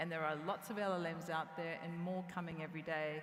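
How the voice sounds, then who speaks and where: Room echo is audible around the speaker. A woman talks at a fairly low pitch. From New Zealand. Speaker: tech company CEO. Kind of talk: conference stage interview.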